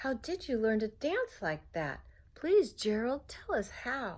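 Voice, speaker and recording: A woman puts on a character voice, high in pitch and at a fairly slow pace. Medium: read story. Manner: mocking, then admiring.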